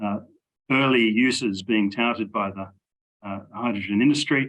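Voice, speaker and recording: Speaking at a fairly quick pace with fairly even intonation, a man with a medium pitch talks with an Australian accent. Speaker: engineering professor. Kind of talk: interview.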